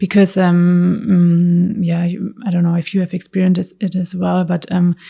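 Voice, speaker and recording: Soft-spoken and somewhat breathy, the speaker has a German accent and a dark, mellow tone. The delivery moves at a moderate pace with monotone, flat intonation. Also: woman, fairly low pitch for a woman. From Germany, Stuttgart area. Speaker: car designer. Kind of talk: interview answer.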